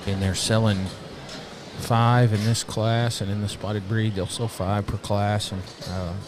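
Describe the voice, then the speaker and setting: Noticeable background noise runs behind a man with an American accent. His voice is fairly low, with monotone, flat intonation at a fairly slow pace. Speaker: livestock show commentator. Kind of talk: live commentary. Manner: halting, many fillers.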